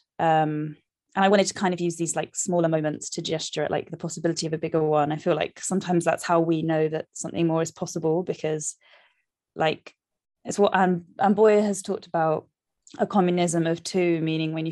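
A woman with a London accent talks very fast in a dark, mellow tone, her intonation flat and monotone. The background is quiet. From South London. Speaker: novelist. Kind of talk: interview.

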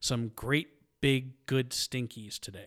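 A man speaks at a fairly slow pace in a plain, everyday voice, recorded very cleanly against a silent background. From Michigan, US. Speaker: podcast co-host. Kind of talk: casual chat. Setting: studio.

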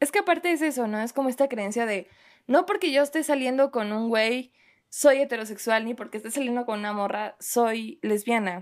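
The voice has lively intonation. The recording is very clean, with a silent background. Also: woman, high pitch for a woman, moderate pace. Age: 20s. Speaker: writer and poet. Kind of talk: casual chat.

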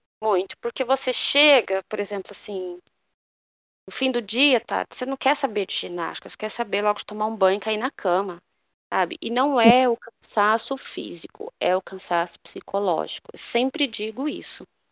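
A woman with a fairly high voice is speaking. She goes at a moderate pace with ordinary pitch variation. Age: 30s. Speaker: former flight attendant, mother. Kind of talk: casual interview chat. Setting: at home, remote call.

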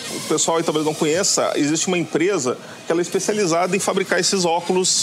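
Music plays in the background as a man talks at a fairly quick pace. His pitch is high, and his intonation stays fairly even. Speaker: drone youtuber. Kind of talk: casual chat.

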